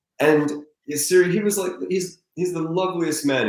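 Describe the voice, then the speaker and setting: A man speaks with an American accent. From US, Colorado. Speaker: adventurer and charity fundraiser. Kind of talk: interview conversation. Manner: halting, many restarts.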